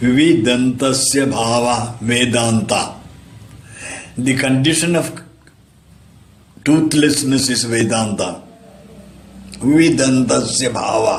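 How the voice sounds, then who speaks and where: A man speaks very slowly, with long, frequent pauses and ordinary pitch variation. Room echo is audible and background noise is noticeable. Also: medium pitch for a man. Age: 80s+. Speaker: religious disciple, storyteller. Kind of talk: anecdotal talk, storytelling.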